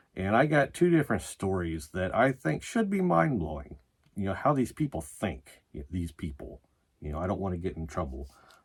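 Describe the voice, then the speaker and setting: A man with a very deep, low pitch and vocal fry speaks at a moderate pace, his pitch swinging very widely. The recording is very clean, with a silent background. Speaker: metal music video reviewer. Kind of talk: casual vlog commentary. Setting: home, sitting by records on a futon. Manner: frequent filler words, says you know and uh a lot.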